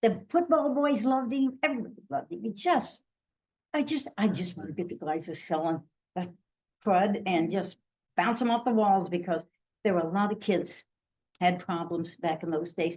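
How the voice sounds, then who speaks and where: A somewhat breathy voice with an American accent, lively intonation, and long, frequent pauses. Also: woman, medium pitch for a woman, moderate pace. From Missouri, US Midwest. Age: 80s+. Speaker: retired drama teacher. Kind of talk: storytelling. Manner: animated.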